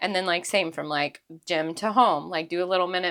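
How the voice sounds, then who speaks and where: On a very clean recording with a silent background, a voice with an American accent talks at a very fast pace, bright and sharp in tone with ordinary pitch variation. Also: woman. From Texas. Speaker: podcast host. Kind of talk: casual chat.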